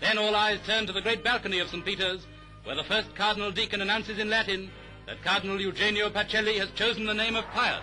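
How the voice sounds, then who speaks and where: Over background music, a man talks at a very fast pace in a raised, projected voice, high in pitch but monotone and flat. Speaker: newsreel narrator. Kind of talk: newsreel commentary.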